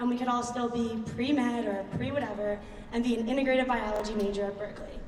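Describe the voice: Fast speech from a woman with a Philadelphia accent, fairly high pitch, and fairly even intonation, with audible room echo. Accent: Philadelphia American.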